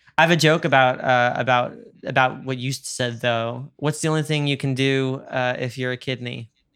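A man with an American accent talks at a moderate pace in a medium pitch, with fairly even intonation. He hardly pauses at all. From New York. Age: 20s. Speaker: podcast host and musician. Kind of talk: casual chat; scripted announcements. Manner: halting, repeats words.

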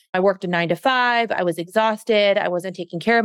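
A woman with a normal speaking voice at a medium pitch, a fairly quick pace and ordinary pitch variation, in a dry, close sound with no echo. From US, Mexican-American family. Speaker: fitness trainer and coach. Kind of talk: interview conversation.

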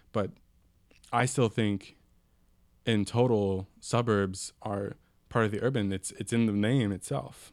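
In a Californian accent, a man speaks fairly slowly at a fairly low pitch with ordinary pitch variation. His long, frequent pauses come through on a very clean recording with a silent background. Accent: Californian American. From San Francisco Bay Area, San Mateo peninsula. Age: 20s. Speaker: radio co-host, urban planning student. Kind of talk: casual radio discussion. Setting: radio studio.

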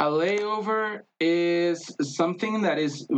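A man speaks with a Spanish accent. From Mexico, Tijuana. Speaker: traveler, marketer. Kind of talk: casual interview chat. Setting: in-person recording, streamed on Facebook Live.

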